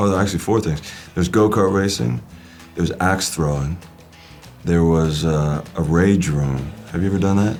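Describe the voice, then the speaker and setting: A man with a very deep, low pitch, ordinary pitch variation and very even loudness, long, frequent pauses, music in the background. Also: moderate pace. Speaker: actor. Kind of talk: interview answer. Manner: casual, conversational.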